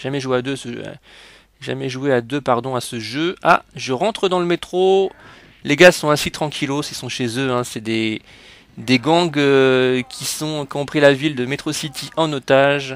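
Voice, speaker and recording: A man with a fairly high voice speaks at a fairly slow pace, his loudness swinging widely while his pitch varies in an ordinary way. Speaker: video game youtuber. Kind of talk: gameplay commentary. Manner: animated.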